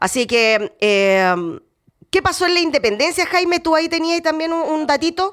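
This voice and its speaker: A woman's extremely high voice at a fairly slow pace, with very wide pitch swings, hardly any pauses, and a very clean recording over a silent background. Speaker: radio host. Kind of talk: radio interview.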